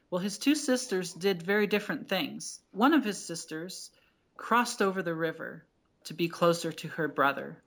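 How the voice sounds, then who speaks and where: Speaking with an American accent, a woman with an unremarkable speaking voice keeps a medium pitch, lively intonation and a moderate pace. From New Jersey. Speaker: doctoral candidate in cultural astronomy. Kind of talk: interview with storytelling.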